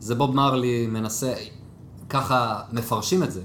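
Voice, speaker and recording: A man speaks at a very slow pace. There is audible echo in the room. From Israel, Jerusalem. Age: 20s. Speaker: DevOps team lead. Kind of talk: casual interview.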